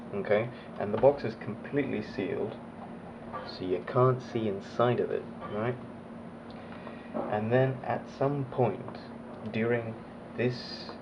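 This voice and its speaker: An English accent at a fairly slow pace, with long, frequent pauses and fairly even intonation, amid noticeable background noise and audible room echo. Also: man, medium pitch for a man. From Australia (raised there, born abroad). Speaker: motovlogger. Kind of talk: casual Q&A vlog.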